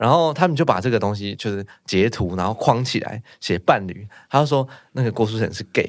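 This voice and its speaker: A man with an unremarkable speaking voice talks at a medium pitch and a fairly quick pace with lively intonation. The recording is very clean, with a silent background. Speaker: village chief. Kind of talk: casual chat.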